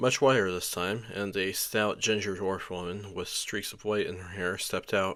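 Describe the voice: Reading aloud, plain and simple.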